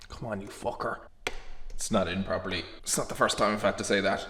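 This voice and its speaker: With an Irish accent, a man talks in lively intonation. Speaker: fitness vlogger. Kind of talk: casual vlog. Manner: soft-spoken, keeping voice down.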